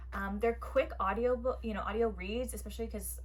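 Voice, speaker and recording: Noticeable background noise sits under a woman speaking in a monotone, flat intonation. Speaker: book reviewer. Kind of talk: casual chat. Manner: fast.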